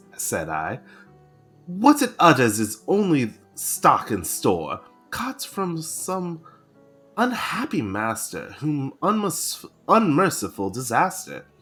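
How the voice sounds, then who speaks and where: Someone speaks at a very slow pace while music plays in the background. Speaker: vtuber. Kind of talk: poetry reading.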